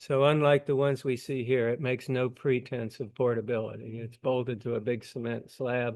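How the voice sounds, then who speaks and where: At a moderate pace and medium pitch, a man talks with fairly even intonation over a quiet background. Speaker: amateur telescope maker. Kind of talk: technical presentation. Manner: soft-spoken. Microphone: volume issue.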